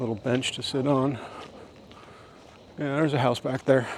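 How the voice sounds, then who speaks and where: Medium-pitched male speech, monotone and flat, at a moderate pace over noticeable background noise. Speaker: vlogger. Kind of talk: casual walking vlog monologue. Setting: outdoors on a walking trail.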